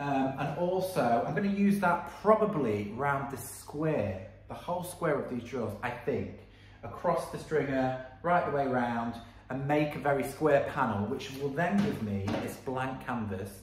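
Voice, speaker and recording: The man speaks fairly slowly, and audible room echo follows his words. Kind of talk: tutorial. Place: workshop. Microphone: phone near.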